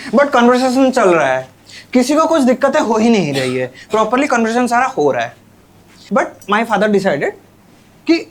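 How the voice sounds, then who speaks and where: Over noticeable background noise, a man with an Odia accent speaks at a high pitch with very wide pitch swings. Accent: Odia accent in Hindi. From Odisha, India. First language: Odia (speaking Hindi). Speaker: stand-up comedian. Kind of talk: stand-up.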